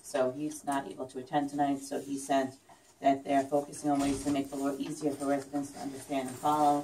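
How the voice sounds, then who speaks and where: Over noticeable background noise, a woman talks at a fairly quick pace in a very deep, low voice. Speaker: village mayor chairing meeting. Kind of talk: public meeting, chairing agenda items. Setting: village board meeting room with public. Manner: soft-spoken; hesitant, many fillers.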